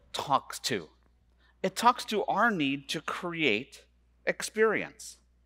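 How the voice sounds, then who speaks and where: Against a quiet background, a man uses a raised, projected voice with a bright, sharp tone. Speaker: conference keynote speaker. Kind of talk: keynote talk. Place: stage. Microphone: headset.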